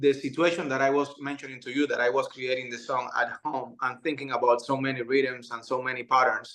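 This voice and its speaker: Here is a man with a Cuban accent. His pitch sits in the medium range. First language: Spanish. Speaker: musician. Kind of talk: interview answer. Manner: hesitant.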